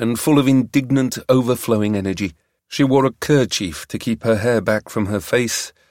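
Quiet surroundings and plain reading aloud

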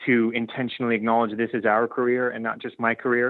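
A man with a West Coast US accent speaks at a moderate pace in a medium-pitched voice. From Oregon, US. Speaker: university athletics director. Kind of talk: interview.

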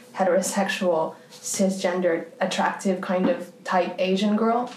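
A woman speaks at a medium pitch with a Canadian accent. Noticeable background noise runs behind her. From Canada. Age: 30s. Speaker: artist. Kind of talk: casual interview conversation.

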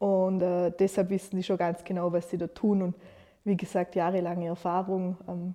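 In a Vorarlberg accent, a woman speaks at a moderate pace with a medium pitch. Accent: Montafon Alemannic dialect. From Austria, Vorarlberg, Montafon (Gargellen). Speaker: communication designer and young entrepreneur. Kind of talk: interview.

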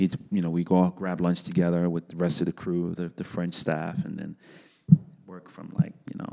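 A man with a New York accent at a moderate pace. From New York City, South Bronx. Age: 40s. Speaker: animation director. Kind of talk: casual chat.

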